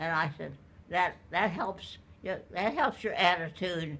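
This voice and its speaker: A very slow pace in an American accent. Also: woman. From Oklahoma. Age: 90s. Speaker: elderly interviewee. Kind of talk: casual interview.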